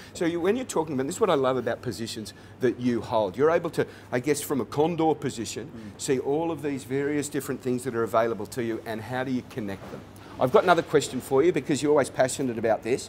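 A man talks at a very fast pace with an Australian accent and ordinary pitch variation. Light background noise sits under the recording. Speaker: actor and director hosting interview; actor, director hosting interview. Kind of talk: interview. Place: cafe. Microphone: lapel.

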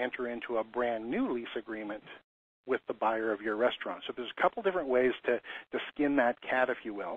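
The speaker is a man with a plain, everyday voice. His pitch is medium and his pace fairly quick. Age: 50s. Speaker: commercial lease consultant. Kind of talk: webinar.

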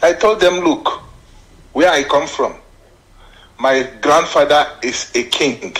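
A man's voice with ordinary pitch variation. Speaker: caller. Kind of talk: phone-in comment.

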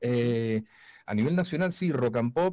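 Against a quiet background, a man with a dark, mellow tone speaks fairly slowly with lively intonation, the sound dry with no echo. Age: 40s. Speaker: voice-over announcer. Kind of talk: casual interview chat. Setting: remote video call from his studio.

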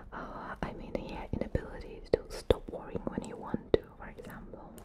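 A soft-spoken woman whispers against loud background noise. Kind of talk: role-play consultation, soft-spoken. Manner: close, soft ASMR whisper. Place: home room.

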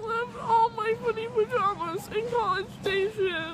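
Pitched extremely high, a woman talks at a fairly slow pace with ordinary pitch variation. The sound is dry with no echo, and background noise is noticeable. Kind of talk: casual vlog chat. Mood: groggy, whiny, playful.

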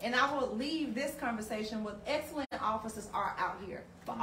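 A woman with a Southern US accent talks at a fairly quick pace, her fairly high pitch showing ordinary variation. Light background noise and audible room echo are present. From US South. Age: 40s. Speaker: community advocate. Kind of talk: community panel discussion. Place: shop. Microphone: camera far.

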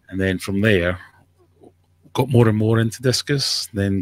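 In a dry recording with no echo and a quiet background, a man with a Scottish accent speaks at a medium pitch and a fairly slow pace. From Scotland. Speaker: aquarium YouTuber. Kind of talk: casual chat. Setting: video call. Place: home room. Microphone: studio mic.

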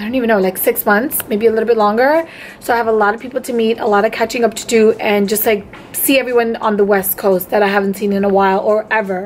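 The speech comes at a very fast pace with fairly even intonation. Light background noise runs underneath. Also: woman. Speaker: beauty vlogger. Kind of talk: casual vlog chat. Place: home room. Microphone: phone near.

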